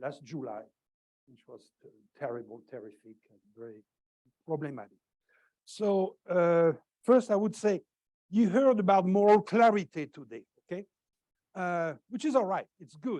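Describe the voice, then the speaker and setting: With a French accent and a dark, mellow tone, a man speaks at a moderate pace in a high pitch, his voice swinging very widely in pitch and greatly in loudness, broken by long, frequent pauses. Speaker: professor. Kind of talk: lecture. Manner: halting, many fillers.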